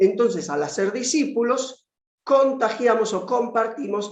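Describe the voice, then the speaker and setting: There is audible room echo. A man talks with lively intonation. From Argentina, Buenos Aires. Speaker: conference speaker on discipleship. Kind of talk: lecture.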